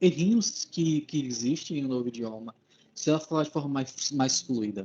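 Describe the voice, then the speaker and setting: A man's dark, mellow tone with lively intonation and a northeastern Brazilian accent. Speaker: English speaker, language learner. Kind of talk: casual chat.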